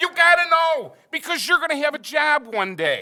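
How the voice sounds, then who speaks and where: A man uses a raised, projected voice with a bright, sharp tone at a moderate pace. The sound is dry and close, with no echo. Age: 60s. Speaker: math teacher. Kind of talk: panel discussion. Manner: animated.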